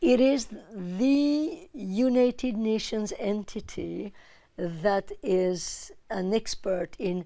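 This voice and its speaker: On a very clean recording with a silent background, a woman with a French accent speaks with a fairly high pitch, a dark, mellow tone, and lively intonation. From France. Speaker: UN official, disarmament expert. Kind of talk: TV interview.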